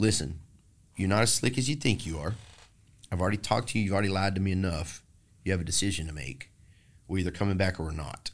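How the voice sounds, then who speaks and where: A man with a Texan accent and a very deep, low pitch talks at a very fast pace with ordinary pitch variation and long, frequent pauses. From Texas. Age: 40s. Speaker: singer-songwriter. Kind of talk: casual interview about recovery.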